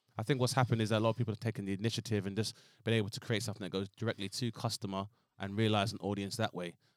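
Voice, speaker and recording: In a London accent, a man talks at a very fast pace with a fairly low pitch and monotone, flat intonation. The recording is very clean with a silent background and a dry, close sound with no echo. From Southeast London. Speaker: comedian. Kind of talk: casual chat. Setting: studio.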